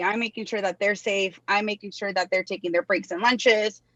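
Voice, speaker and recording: A woman at a very fast pace, bright and sharp in tone, with fairly even intonation and a dry, close sound with no echo. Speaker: theme park employee. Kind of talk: interview. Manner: loud; casual, many fillers.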